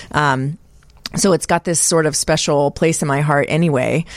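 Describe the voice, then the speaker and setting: A woman speaks at a moderate pace. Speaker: film festival director. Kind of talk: casual chat. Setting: studio.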